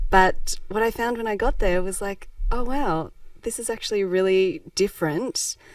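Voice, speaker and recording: In a very clean recording with a silent background, a woman with an Australian accent speaks in a fairly high voice. She talks at a moderate pace with lively intonation. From Melbourne, Australia (moved from Japan aged four). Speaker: social enterprise founder. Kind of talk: podcast interview.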